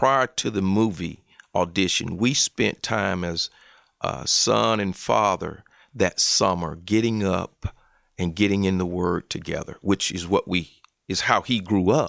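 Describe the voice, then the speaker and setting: Speaking at a fairly slow pace in a Southern US accent, a man with a fairly low pitch comes through a dry, close, echo-free and very clean recording with a silent background. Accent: Southern American. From US South, Columbus, Georgia / Phenix City, Alabama. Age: 50s. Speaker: college football chaplain, former NFL player. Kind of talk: interview.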